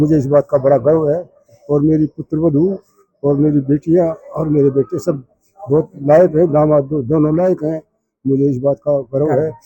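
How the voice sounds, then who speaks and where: In a dry, close sound with no echo, a man with fairly high pitch speaks in a flat monotone. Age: 80s+. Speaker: retiree's father, community elder. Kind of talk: interview.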